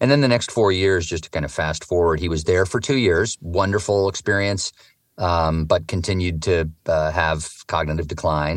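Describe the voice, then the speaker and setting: The background is quiet. A man with a West Coast US accent talks at a moderate pace. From Oregon, US. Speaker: author and touring cyclist. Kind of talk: interview storytelling. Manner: halting, many fillers.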